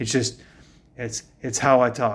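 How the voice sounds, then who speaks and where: Here is a man with a normal speaking voice at medium pitch. He speaks at a fairly slow pace. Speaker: fitness coach. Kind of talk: casual fitness tutorial to camera.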